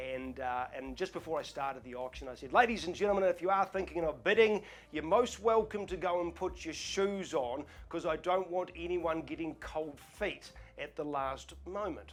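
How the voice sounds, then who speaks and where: With music playing behind him, a man talks in a high voice. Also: lively intonation, moderate pace. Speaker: auctioneer. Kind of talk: casual talk to camera, Q&A. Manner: relaxed, chatty, storytelling.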